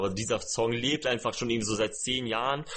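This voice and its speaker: Fairly even intonation in very fast male speech. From Lower Saxony, Germany. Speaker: musician and after-school teacher. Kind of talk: casual chat. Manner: halting.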